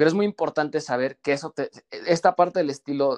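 This man's pitch varies in an ordinary way. The sound is dry and close, with no echo. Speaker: image consultant. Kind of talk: casual interview chat.

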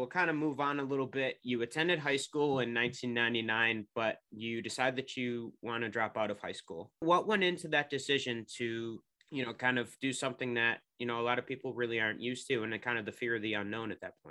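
A man with a western New York accent, medium-pitched, talking very fast, his pitch moving in an ordinary way. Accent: western New York (Inland North). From Rochester area, New York. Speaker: podcast host. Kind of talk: interview hosting.

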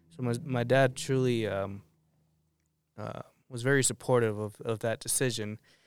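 On a very clean recording with a silent background, a man with an American accent speaks at a moderate pace and a medium pitch. His intonation is fairly even, broken by long, frequent pauses. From Arizona, Tucson area. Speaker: minister. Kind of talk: testimony.

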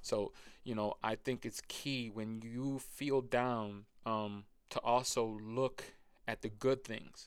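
An American accent marks this man's speech. He talks at a very slow pace in a monotone, flat intonation. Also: medium pitch for a man. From Rochester, New York, US. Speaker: podcast guest, weight loss story. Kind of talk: casual chat.

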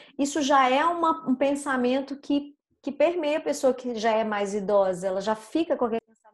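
At a moderate pace, the woman speaks in a high pitch. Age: 40s. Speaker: communication and public speaking coach. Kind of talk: casual interview chat. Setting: online recording.

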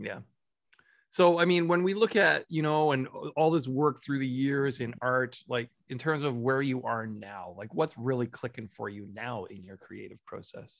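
In a Canadian accent, a man with an unremarkable speaking voice talks at a moderate pace, his intonation lively and his loudness swinging widely. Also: medium pitch for a man. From Alberta, Canada. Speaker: podcast host. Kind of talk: casual interview chat.

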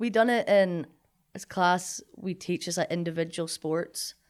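A woman's fairly low voice in a Scottish accent, in a very clean recording with a silent background. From Scotland, Linlithgow. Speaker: college athlete and graduate student. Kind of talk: casual chat.

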